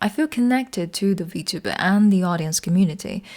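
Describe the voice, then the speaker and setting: A non-native accent on a very clean recording with a silent background. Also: woman. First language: not English. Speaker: video essayist. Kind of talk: video essay narration.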